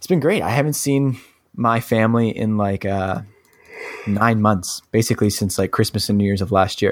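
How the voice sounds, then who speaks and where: A man with an ordinary speaking voice talks at a fairly low pitch. His pitch variation is ordinary. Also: moderate pace. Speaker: podcast co-host. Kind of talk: casual chat.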